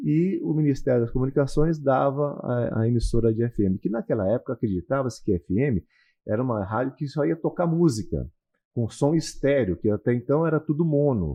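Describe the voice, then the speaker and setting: Man at a medium pitch, an ordinary speaking voice with lively intonation. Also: fairly quick pace. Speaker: radio broadcaster, announcer and consultant, also lawyer and real estate broker. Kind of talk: podcast interview answer, casual conversation.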